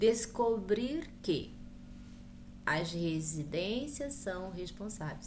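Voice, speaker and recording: Audible room echo surrounds this voice. A woman speaks in a somewhat breathy way. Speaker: school teacher. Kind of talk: lecture.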